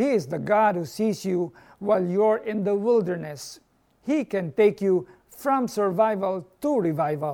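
A man's high-pitched, dark, mellow voice with lively intonation at a fairly slow pace, on a very clean recording with a silent background. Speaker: pastor. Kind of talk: short devotional sermon.

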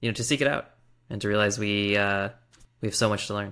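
The voice carries an American accent. Its tone is bright and sharp, in a very clean recording with a silent background. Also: man. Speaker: podcast host. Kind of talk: casual conversation.

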